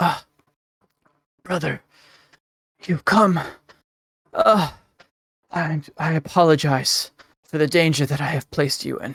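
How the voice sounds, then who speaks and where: A put-on character voice, raspy and at a middle pitch, moves at a fairly slow pace with long, frequent pauses. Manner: apologetic.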